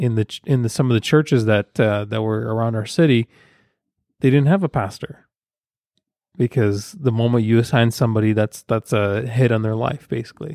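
Recorded very cleanly with a silent background and a dry, close sound without echo, a man talks at a fairly quick pace, medium in pitch with ordinary variation and a dark, mellow tone. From Ukraine. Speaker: podcast co-host. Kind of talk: casual chat.

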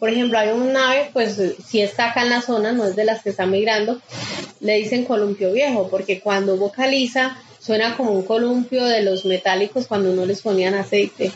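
Noticeable background noise sits behind the recording. A woman speaks at a fairly high pitch with very even loudness. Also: fairly even intonation, moderate pace. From Colombia, Quindío (Pijao). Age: 40s. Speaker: nature guide and birdwatcher. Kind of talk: interview testimony.

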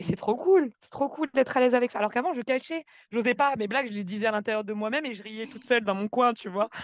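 A woman's fairly high voice at a very fast pace, lively in intonation, with big swings in loudness and a dry, close sound with no echo. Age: 20s. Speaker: podcast guest, program participant. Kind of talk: testimony. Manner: sometimes fast, stumbling.

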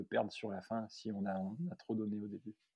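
The speaker is a man with a medium pitch. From France, Loire (Saint-Étienne area). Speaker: podiatrist and ultra-trail runner. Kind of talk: casual interview. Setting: remote call. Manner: hesitant, many fillers.

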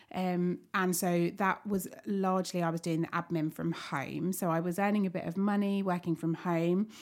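A woman's fairly low voice in a southern English accent, moderate in pace, flat and monotone, very even in loudness, with hardly any pauses, on a very clean recording with a silent background. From Kent, England. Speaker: cafe owner. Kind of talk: casual chat. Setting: studio.

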